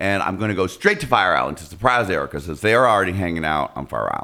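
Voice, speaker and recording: A man speaks in an animated, bright, sharp tone with very wide pitch swings and vocal fry. The recording is very clean, with a silent background. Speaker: podcast host. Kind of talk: casual chat. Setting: studio.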